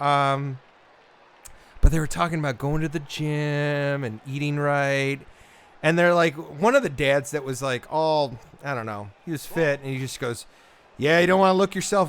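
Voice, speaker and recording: A man speaks with a northern Midwest accent. His pitch sits fairly high for a man. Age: 40s. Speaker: gamer. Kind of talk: casual chat.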